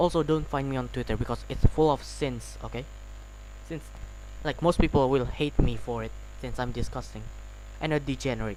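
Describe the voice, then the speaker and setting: Delivery comes at a moderate pace. The voice carries a non-native accent. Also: man. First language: not English. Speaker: gaming streamer. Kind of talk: live game stream chat. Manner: halting, repeats words.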